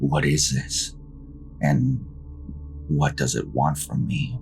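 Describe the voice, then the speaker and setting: Music plays behind a man whose very deep, low voice moves at a fairly slow pace. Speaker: horror story narrator. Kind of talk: horror story narration, read aloud.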